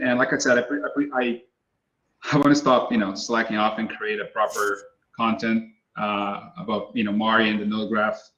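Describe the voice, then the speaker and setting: At a fairly quick pace, a man speaks at medium pitch in a bright, sharp tone with ordinary pitch variation. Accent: Brazilian. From Brazil. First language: Portuguese. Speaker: texture artist. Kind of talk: webinar Q&A. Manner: halting; casual.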